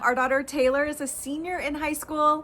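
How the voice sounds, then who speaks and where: A woman with an American accent talks in an animated tone at a moderate pace. Her voice is raised and projected. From East Texas. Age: 40s. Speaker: lifestyle and fashion video creator. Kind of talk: casual personal vlog monologue.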